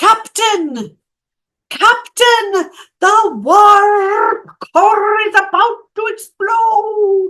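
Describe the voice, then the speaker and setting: Using a put-on character voice with a Scottish accent, a man speaks at an extremely high pitch and a very slow pace. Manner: urgent, alarmed.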